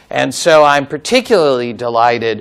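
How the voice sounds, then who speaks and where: A man with an American accent, fairly high-pitched and fairly slow, over noticeable background noise. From United States. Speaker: law professor. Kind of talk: conference talk. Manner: halting.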